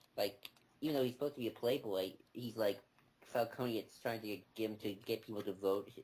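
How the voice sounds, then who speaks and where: A man talks quietly at a moderate pace, his pitch fairly low. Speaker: comics podcast co-host. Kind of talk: casual chat.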